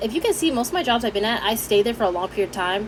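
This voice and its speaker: Noticeable background noise sits under a woman speaking very fast. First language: Haitian Creole. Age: 20s. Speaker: vlogger. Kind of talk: casual chat. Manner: animated.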